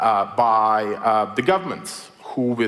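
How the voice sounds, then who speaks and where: With a Belarusian accent, a man speaks against noticeable background noise. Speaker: writer and technology critic. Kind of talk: public lecture. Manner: many filler words (uh, um).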